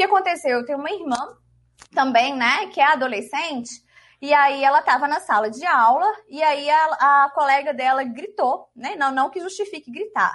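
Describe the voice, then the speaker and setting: A woman's high voice at a moderate pace, lively in intonation. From Minas Gerais, Brazil. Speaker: law lecturer. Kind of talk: casual chat.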